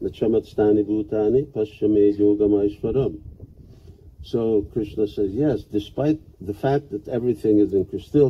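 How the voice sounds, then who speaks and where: His voice is fairly low in pitch and somewhat breathy. The man speaks at a moderate pace. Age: 70s. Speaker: monk teaching a seminar. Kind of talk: lecture with consecutive interpretation.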